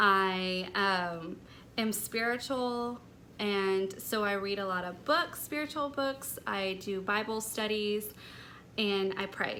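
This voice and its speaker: Very slowly, a woman speaks in a breathy voice with a bright, sharp tone, a medium pitch and ordinary pitch variation, with audible room echo. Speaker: lifestyle vlogger. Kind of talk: personal vlog talk. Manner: light and airy.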